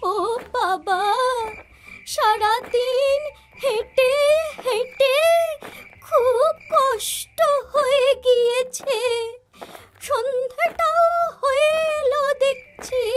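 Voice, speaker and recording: A cartoonish character voice from a woman, extremely high in pitch, at a very slow pace. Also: ordinary pitch variation. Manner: plaintive, fussy.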